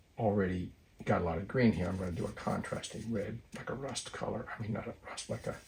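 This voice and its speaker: Over noticeable background noise, a man speaks fairly quickly in a fairly low pitch with ordinary pitch variation. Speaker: watercolor artist. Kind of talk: tutorial. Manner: voice drops when concentrating; halting.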